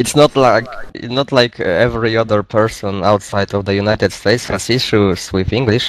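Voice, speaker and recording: A man with a Polish accent talks at a moderate pace and medium pitch, his intonation fairly even. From Poland. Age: 20s. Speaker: gaming clan member. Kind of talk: casual group voice chat. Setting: online voice chat.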